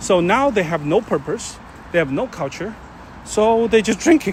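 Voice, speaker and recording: A man with a Chinese accent and lively intonation at a moderate pace, over noticeable background noise. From China. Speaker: live streamer. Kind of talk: casual chat. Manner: halting.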